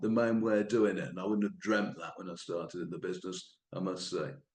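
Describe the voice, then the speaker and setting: A man speaks with a fairly low pitch. Audible room echo can be heard. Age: 60s. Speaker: quarry industry veteran, guest lecturer. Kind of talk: lecture. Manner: halting, many fillers and repetitions.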